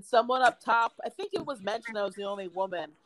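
A woman with an American accent, fairly high-pitched and very fast. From New Jersey, small town. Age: 30s. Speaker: comedian. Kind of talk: casual chat.

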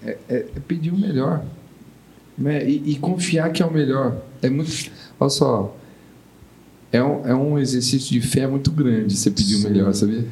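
Lively intonation from a man at a moderate pace, with long, frequent pauses and audible room echo. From São Paulo, Brazil. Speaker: tech startup founder, bereaved father. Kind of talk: podcast interview.

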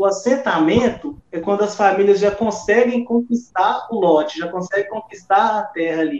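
With hardly any pauses, a man talks in a high pitch with ordinary pitch variation. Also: moderate pace. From Brazil, Minas Gerais. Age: 20s. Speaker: activist, youth leader of rural movement. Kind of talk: interview.

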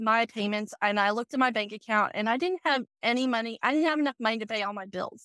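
A woman speaks with a bright, sharp tone and high pitch, her pitch varying in an ordinary way, in a very clean recording with a silent background and a dry, close sound with no echo. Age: 40s. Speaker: accountant. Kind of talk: interview. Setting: in a car. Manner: animated.

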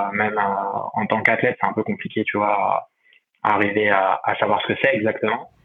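A man speaks at a moderate pace. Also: very even loudness. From France, Saint-Étienne. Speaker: professional triathlete. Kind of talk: interview. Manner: halting, many fillers and repetitions.

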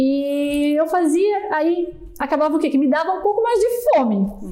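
A woman speaks with lively intonation. There is audible room echo. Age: 30s. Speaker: customer support staff. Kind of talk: casual chat.

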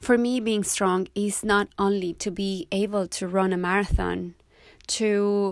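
A woman speaks with a Spanish accent at a medium pitch. The recording is very clean, with a silent background. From Mexico. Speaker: yoga teacher and podcast host. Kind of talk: podcast monologue.

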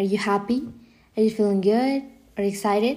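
Her voice sits fairly high, with a dark, mellow tone and ordinary pitch variation. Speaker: podcast host. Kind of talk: solo podcast talk.

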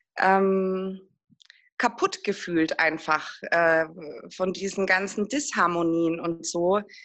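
The woman's voice sits at a medium pitch. It varies in pitch in an ordinary way. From Würzburg, Lower Franconia, Germany. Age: 40s. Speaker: single mother in a patchwork family. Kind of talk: interview, personal conversation.

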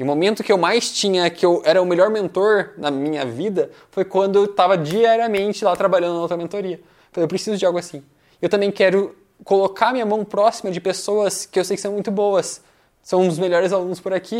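Here a man speaks at a high pitch and a fairly quick pace, with ordinary pitch variation. The recording is very clean, with a silent background. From Brazil, Curitiba (Paraná). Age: 20s. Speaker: entrepreneur and mentor. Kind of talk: interview.

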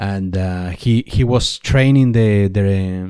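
With a Spanish accent, a man speaks very slowly at a fairly low pitch in a very clean recording with a silent background. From Spain. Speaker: sports commentator. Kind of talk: interview. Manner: halting, repeats words.

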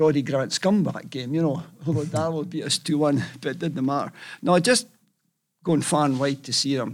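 In a Scottish accent, a man speaks at a moderate pace with a fairly high pitch and ordinary pitch variation, and the recording is very clean with a silent background. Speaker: football fan. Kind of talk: storytelling.

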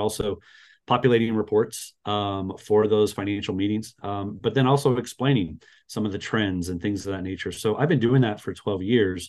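Speaking in an ordinary speaking voice with an American accent, a man keeps a moderate pace, a fairly low pitch, and fairly even intonation. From Las Vegas, Nevada. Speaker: church bookkeeping business owner. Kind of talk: interview conversation. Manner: many filler words (uh, um).

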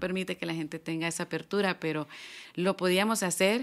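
In a very clean recording with a silent background, a woman speaks in an ordinary speaking voice, fairly low in pitch, at a fairly quick pace with fairly even intonation. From Honduras, San Pedro Sula. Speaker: gospel singer. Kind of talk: testimony.

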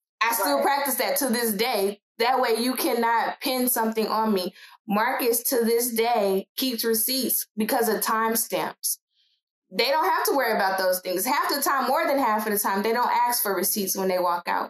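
With an American accent, a woman of fairly high pitch speaks at a moderate pace with ordinary pitch variation and very even loudness. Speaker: podcast host and writer. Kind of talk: casual panel discussion.

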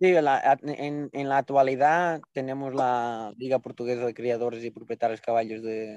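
Against a quiet background, a man of medium pitch talks at a fairly slow pace with ordinary pitch variation, the sound dry and close with no echo. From Portugal. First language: Portuguese (speaking Spanish). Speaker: jockey. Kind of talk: casual chat.

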